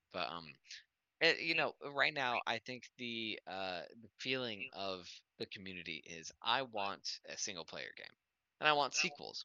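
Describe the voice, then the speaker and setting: At medium pitch and a moderate pace, a man speaks in an animated tone with very wide pitch swings and vocal fry. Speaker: podcast co-host. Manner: animated, swears casually.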